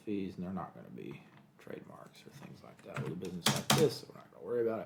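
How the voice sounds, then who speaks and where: A man's very fast delivery with vocal fry, fairly low pitch and very wide pitch swings, in audible room echo. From Kentucky, US. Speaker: lawyer. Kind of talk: tutorial. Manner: casual, thinking aloud.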